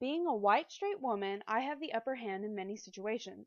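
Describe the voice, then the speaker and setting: The intonation is lively and the pace fairly quick. The background is quiet. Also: woman. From US South (military family, moved around). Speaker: student. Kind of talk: class presentation, scripted. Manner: reading aloud.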